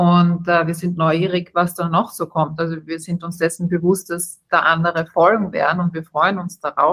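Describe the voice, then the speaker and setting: Her voice has a fairly low pitch. The woman's intonation is monotone and flat. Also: moderate pace, hardly any pauses. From Austria. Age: 30s. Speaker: startup co-founder, hospitality background. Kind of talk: interview.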